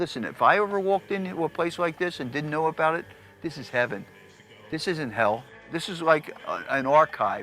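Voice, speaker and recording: With music playing in the background, a man with a fairly high voice speaks at a fairly quick pace with lively intonation. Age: 70s. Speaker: record shop owner. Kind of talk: documentary interview. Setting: record warehouse. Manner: animated.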